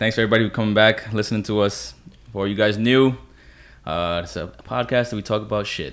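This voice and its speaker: With an unremarkable speaking voice, a man talks at a fairly quick pace, his pitch fairly low, his pitch variation ordinary and his loudness swinging widely. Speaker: podcast host. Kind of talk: casual chat.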